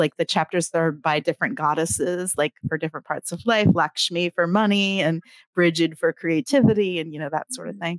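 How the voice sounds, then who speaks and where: A woman with an unremarkable speaking voice, fairly low in pitch with ordinary pitch variation and hardly any pauses, in a very clean recording with a silent background and a dry, close sound with no echo. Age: 50s. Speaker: author and writing coach. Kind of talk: casual interview chat.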